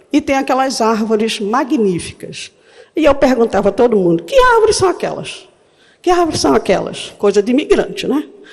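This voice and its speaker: Amid noticeable background noise, a woman with a high pitch talks at a moderate pace, her pitch swinging very widely. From Northeast Brazil. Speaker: history professor. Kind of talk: conference talk.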